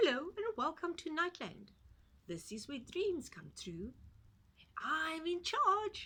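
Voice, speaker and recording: A put-on character voice, squeaky and extremely high. It moves at a fairly slow pace. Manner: friendly, welcoming.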